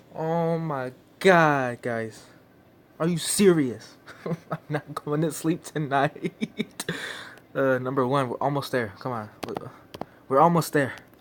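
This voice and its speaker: Over noticeable background noise, a man with a fairly high pitch speaks very slowly, with long, frequent pauses. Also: ordinary pitch variation. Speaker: YouTuber reacting to video. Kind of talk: reaction video commentary.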